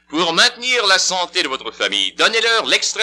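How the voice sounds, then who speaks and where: A man speaks high in pitch, at a moderate pace, with ordinary pitch variation. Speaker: radio announcer. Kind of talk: radio commercial read.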